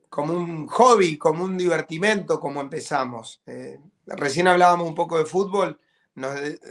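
Against a quiet background, a man with a high voice talks at a fairly slow pace with ordinary pitch variation. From Argentina. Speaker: rock band drummer. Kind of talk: interview. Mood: warm, upbeat. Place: home room. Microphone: video call.

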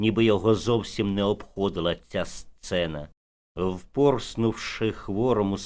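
An unforced reading voice against a quiet background

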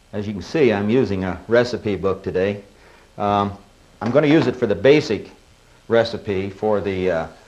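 A man with a plain, everyday voice, pitched fairly low, talks at a moderate pace with ordinary pitch variation. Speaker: cooking show host. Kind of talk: tutorial. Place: studio.

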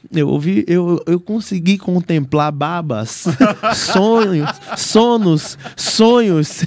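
Over light background noise in a dry, echo-free recording, a man with a high pitch speaks very slowly with lively intonation. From Brazil, Salvador, Bahia. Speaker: podcast guest or host. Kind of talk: casual chat. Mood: warm, grateful. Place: studio. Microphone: studio mic.

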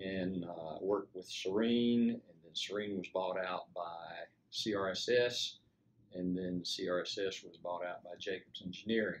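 A man with a very deep, low pitch speaks at a fairly slow pace with fairly even intonation and big swings in loudness over light background noise. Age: 70s. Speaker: retired engineer; army veteran. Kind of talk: interview answer. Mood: calm, reflective. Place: home room.

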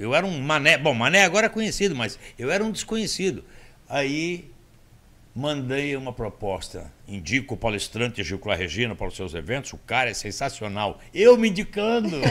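With a bright, sharp tone and vocal fry, a man speaks at a moderate pace in a fairly high pitch that swings very widely. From Brazil. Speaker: motivational speaker. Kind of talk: casual interview storytelling. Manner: animated. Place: studio. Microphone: studio mic.

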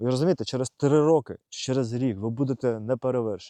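A man's dark, mellow voice at medium pitch, moderate pace and ordinary pitch variation, dry and close with no echo. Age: 30s. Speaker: video blogger. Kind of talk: personal vlog monologue. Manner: halting; unscripted, conversational.

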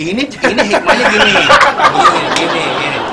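A man speaks at a moderate pace. Crowd noise can be heard in the background. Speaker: religious teacher guest. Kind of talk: talk show discussion, religious explanation. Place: garden.

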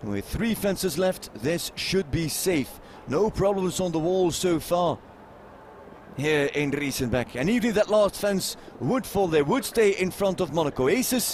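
A man talks at a fairly slow pace with a high pitch and lively intonation. Noticeable background noise runs underneath. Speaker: show jumping commentator. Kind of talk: live sports commentary on show jumping, delivered over the action. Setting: live at the venue with the crowd. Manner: formal, statistics-heavy, informative.

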